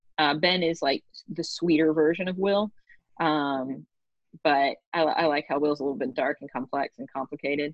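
Talking at a moderate pace, a woman uses a very deep, low pitch. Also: ordinary pitch variation. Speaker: podcast host and author; English teacher. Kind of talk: casual chat. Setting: video call.

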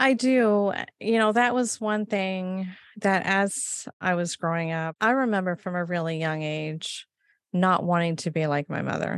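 Using an ordinary speaking voice with an American accent, a woman talks at a medium pitch and a fairly slow pace, with a dry, close sound with no echo against a quiet background. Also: ordinary pitch variation. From US, Maine. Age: 50s. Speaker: guest sharing faith story. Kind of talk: testimony.

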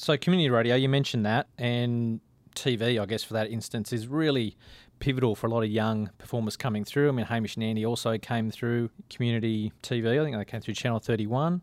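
At a very fast pace, a man with an Australian accent talks at medium pitch with fairly even intonation. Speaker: podcast interviewer. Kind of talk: casual interview chat.

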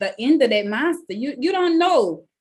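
A woman speaks in a New Orleans accent with an animated, enthusiastic tone. Her pitch swings very widely. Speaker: podcast host. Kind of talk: casual interview chat.

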